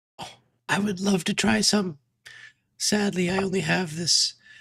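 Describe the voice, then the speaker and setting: Someone puts on a raspy character voice at a middle pitch and talks at a moderate pace. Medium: actual play. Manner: rambling, hesitant, repetitive.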